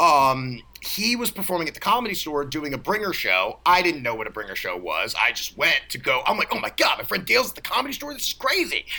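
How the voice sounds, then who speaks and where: Someone talks at a very fast pace with an American accent, leaving hardly any pauses. Noticeable background noise sits behind the voice. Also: man. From US East Coast, Baltimore. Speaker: comedian and actor. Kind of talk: casual chat.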